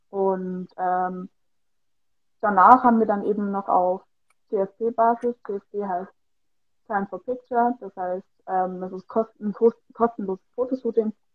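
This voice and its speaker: A woman at medium pitch, very slow, with fairly even intonation, long and frequent pauses, and big swings in loudness. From Bavaria, Germany. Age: 20s. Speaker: fitness studio employee and amateur model. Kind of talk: casual interview. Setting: Instagram livestream.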